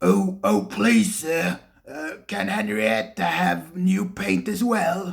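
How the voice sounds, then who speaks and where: A raspy, put-on character voice at a middle pitch. The delivery is very slow. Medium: read story. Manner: mild, hesitant.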